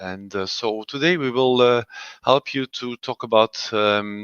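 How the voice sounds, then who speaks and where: Medium in pitch, a man with a European accent speaks at a fairly slow pace with ordinary pitch variation. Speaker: industrial lubrication specialist presenter. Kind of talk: webinar presentation. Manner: halting, many fillers.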